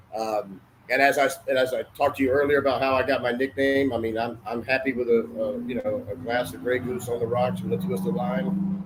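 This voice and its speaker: Over noticeable background noise, a man with an American accent talks at a fairly quick pace, medium pitch and lively intonation. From US South, Atlanta, Georgia. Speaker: cigar industry marketing director and author. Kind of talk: casual interview chat.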